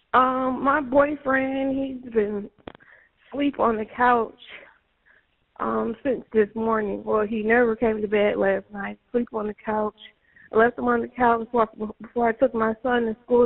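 A woman at a fairly slow pace with fairly even intonation. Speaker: caller. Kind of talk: emergency call answers. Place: home room. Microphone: phone line.

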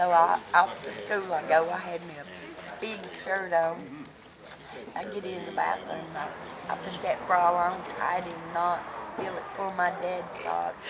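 A woman's fairly low voice at a fairly slow pace, with long, frequent pauses under loud background noise. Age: old. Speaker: storyteller. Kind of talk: storytelling to camera. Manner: animated, humorous. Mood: amused, playful storytelling. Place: street. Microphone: phone near.

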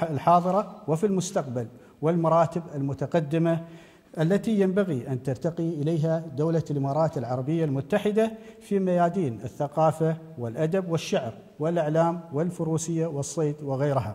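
Male speaker at a moderate pace, with ordinary pitch variation. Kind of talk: formal memorial speech. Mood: solemn, respectful. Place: hall. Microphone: podium.

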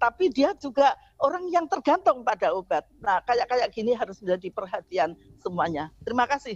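This woman's high voice swings very widely in pitch, recorded dry with no echo. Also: moderate pace, quiet background. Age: 70s. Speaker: women's health advocate; guest. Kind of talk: radio talk show interview. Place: home room. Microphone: video call.

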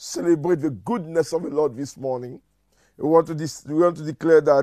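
The voice has a dark, mellow tone, recorded dry with no echo over a quiet background. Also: man. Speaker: church minister. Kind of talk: prayer meeting address and prayer. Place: home room.

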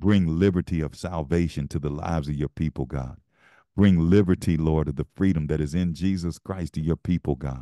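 A man with a very deep, low pitch and a dark, mellow tone speaks at a moderate pace. His intonation is fairly even over a quiet background. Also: dry, close sound with no echo. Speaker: pastor. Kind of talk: fervent intercessory prayer, pleading and commanding. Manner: repetitive, rising crescendo of urgent petitions; rhythmic call-and-invocation cadence, emphatic.

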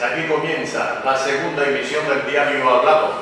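A man speaks at a fairly slow pace over noticeable background noise, with strong room echo. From La Guajira, Colombia. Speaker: radio announcer. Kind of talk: radio news broadcast. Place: studio.

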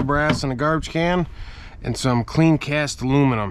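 Over noticeable background noise, a man's voice comes through dry, with no echo. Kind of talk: casual vlog chat. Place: open country. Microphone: phone near.

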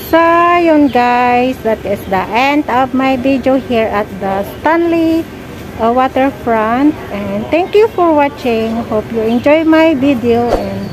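A high-pitched woman at a very slow pace, with ordinary pitch variation over noticeable background noise. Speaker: travel vlogger. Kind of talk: casual vlog chat. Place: waterside. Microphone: phone near.

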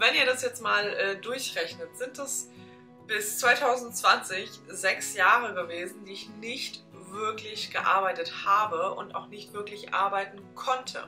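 Over faint music in the background, a woman talks at a very slow pace with big swings in loudness. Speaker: vlogger. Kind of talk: casual vlog chat. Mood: earnest, reflective. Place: home room.

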